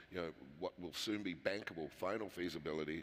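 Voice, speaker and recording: A man speaks with a New Zealand accent. His voice is very deep and low. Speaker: mining company executive. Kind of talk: panel discussion.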